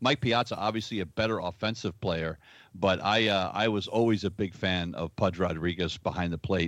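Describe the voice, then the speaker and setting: Over a quiet background, a man speaks with a very deep, low pitch. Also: ordinary pitch variation, moderate pace. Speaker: baseball fan, former official scorer. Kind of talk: casual chat.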